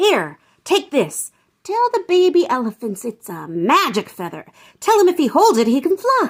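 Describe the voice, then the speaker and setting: A woman's high-pitched, cackling, put-on character voice at a moderate pace. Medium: read story. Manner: cackling, wisecracking.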